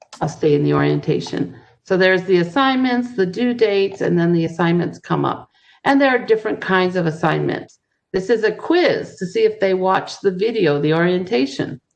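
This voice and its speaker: A woman's normal speaking voice at medium pitch, with lively intonation and a moderate pace. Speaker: ESL teacher. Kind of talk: tutorial.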